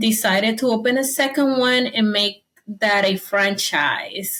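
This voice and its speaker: Fairly high in pitch and bright, sharp in tone, a woman speaks with a Spanish accent and fairly even intonation. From Dominican Republic. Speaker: entrepreneur, business owner. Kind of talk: interview.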